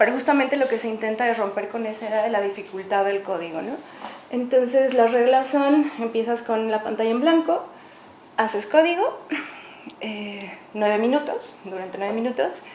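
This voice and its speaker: Recorded with audible room echo and noticeable background noise, a woman speaks at a fairly high pitch with ordinary pitch variation. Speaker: artist and live coder. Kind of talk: public talk. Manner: fast.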